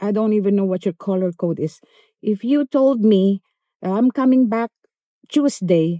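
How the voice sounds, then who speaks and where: Recorded very cleanly with a silent background and a dry, close sound with no echo, a woman speaks fairly slowly in a dark, mellow tone with a medium pitch and ordinary pitch variation. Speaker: vlogger. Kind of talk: casual storytelling vlog. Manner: animated.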